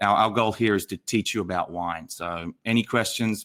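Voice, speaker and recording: A man talks in an animated, bright, sharp tone. His pitch is medium and his pace fairly quick. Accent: Australian. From Australia, Sydney. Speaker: wine educator. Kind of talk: online masterclass livestream. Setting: livestream.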